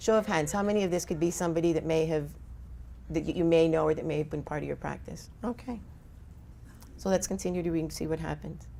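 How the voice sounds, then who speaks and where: Despite long, frequent pauses, a woman speaks at a very fast pace in a room with audible echo. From Colombia. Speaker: physician and addiction lecturer. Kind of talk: conference lecture. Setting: stage with audience.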